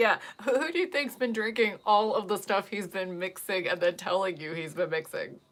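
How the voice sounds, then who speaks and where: Lively intonation from a woman of medium pitch in a normal speaking voice, at a moderate pace. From US Midwest, Ohio. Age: 40s. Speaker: makeup and wig vlogger. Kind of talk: casual chat.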